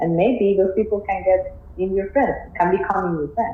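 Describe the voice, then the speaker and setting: Audible room echo colors the recording. Noticeable background noise is present as well. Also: woman. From Colombia. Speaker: biology PhD student. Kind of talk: interview.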